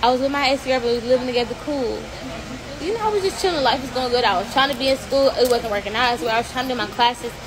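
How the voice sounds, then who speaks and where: Someone talks at a very fast pace with ordinary pitch variation while noticeable background noise runs underneath. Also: woman. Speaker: livestreamer. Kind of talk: casual livestream storytelling. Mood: animated, confident. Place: street. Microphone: phone near.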